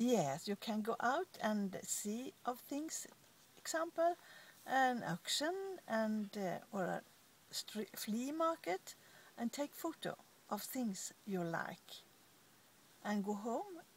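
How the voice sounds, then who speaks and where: Speaking very slowly, a woman leaves long, frequent pauses. Her fairly high voice swings very widely in pitch. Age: 80s+. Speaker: eBay seller, entrepreneur. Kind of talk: interview answer.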